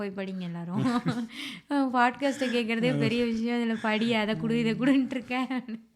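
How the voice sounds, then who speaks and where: The voice holds a fairly even intonation over noticeable background noise. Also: woman, fairly high pitch for a woman. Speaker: podcast host. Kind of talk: casual podcast conversation.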